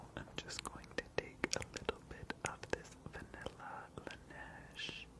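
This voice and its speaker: Whispering at a very slow pace in a soothing tone, with noticeable background noise. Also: man. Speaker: ASMR creator. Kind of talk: ASMR roleplay whisper to camera. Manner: whispered, soft, soothing.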